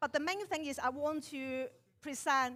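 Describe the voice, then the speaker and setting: Her voice is high for a woman, bright and sharp, with fairly even intonation. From Hong Kong. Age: middle-aged. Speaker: barista competitor. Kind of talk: stage interview. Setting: stage with audience.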